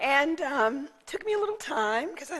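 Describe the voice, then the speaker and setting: A woman talks with lively intonation. Noticeable background noise runs underneath. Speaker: guest minister. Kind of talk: sermon. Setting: church.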